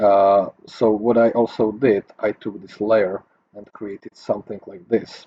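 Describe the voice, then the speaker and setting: Speaking with a non-native accent, a man with a fairly low pitch and a dark, mellow tone talks at a fairly slow pace in a monotone, flat intonation, with big swings in loudness and a dry, close sound with no echo. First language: not English. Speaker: 3D graphics tutor. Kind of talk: tutorial. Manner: halting, many fillers.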